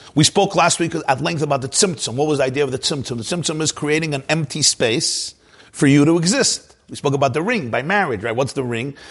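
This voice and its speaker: A man's somewhat breathy voice sits at a fairly high pitch, with ordinary pitch variation. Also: fairly quick pace. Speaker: Torah teacher giving a Chassidic class. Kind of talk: lecture. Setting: live class with online video viewers. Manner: conversational, explanatory, repeats words.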